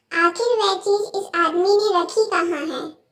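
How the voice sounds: A cartoonish character voice at a fairly slow pace. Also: female-sounding voice.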